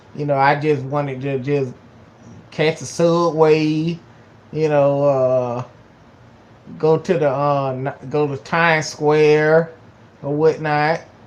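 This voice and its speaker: A man with a Georgia accent and a fairly high pitch talks at a fairly slow pace in monotone, flat intonation. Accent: Southern US (Georgia). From US South, Georgia. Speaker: YouTuber. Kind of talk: casual vlog talk. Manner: halting, many fillers and repetitions.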